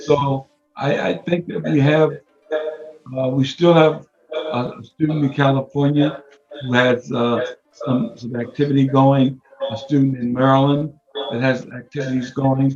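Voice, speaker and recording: A man with an American accent speaks at a fairly slow pace in a fairly high pitch, his intonation fairly even, with long, frequent pauses and music in the background. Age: 80s+. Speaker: martial arts grandmaster. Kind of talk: interview.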